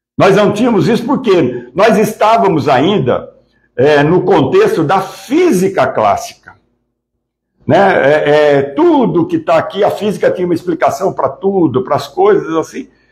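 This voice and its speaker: A man speaks at a fairly slow pace. His loudness stays very even. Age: 60s. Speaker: spiritist lecturer. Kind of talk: lecture. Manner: halting, many fillers and repetitions.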